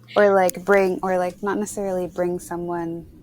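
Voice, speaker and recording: A woman with an unremarkable speaking voice talks at medium pitch and moderate pace on a very clean recording with a silent background. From Canada. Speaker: podcast co-host. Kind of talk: casual chat.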